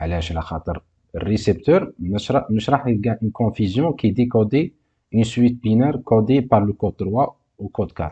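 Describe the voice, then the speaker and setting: A man's somewhat breathy, medium-pitched voice with a dark, mellow tone, lively intonation and a fairly quick pace, over a quiet background. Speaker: university teacher. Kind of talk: lecture, course exercise explanation.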